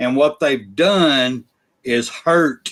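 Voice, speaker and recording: A man talks with an Alabama accent. His pace is very slow. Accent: US Southern (Alabama). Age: 60s. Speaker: sports podcast host. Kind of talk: casual chat. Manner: animated.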